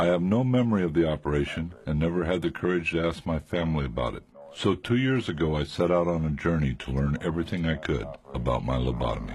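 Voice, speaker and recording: Speaking very fast, a man with an American accent and a very deep, low pitch uses lively intonation. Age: 50s. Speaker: documentary narrator, lobotomy survivor. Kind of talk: testimony; scripted narration.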